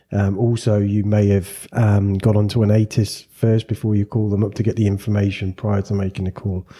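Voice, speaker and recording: A somewhat breathy, dark and mellow voice at a fairly quick pace with hardly any pauses, very even loudness and flat monotone intonation, on a very clean recording with a silent background. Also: man, fairly low pitch for a man. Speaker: podcast host and flight school owner. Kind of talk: casual interview chat.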